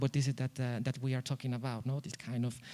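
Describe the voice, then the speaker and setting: A man with a non-native accent, medium pitch and monotone, flat intonation, in a very clean recording with a silent background. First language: not English. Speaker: architect. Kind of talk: conference presentation. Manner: halting, many fillers and repetitions.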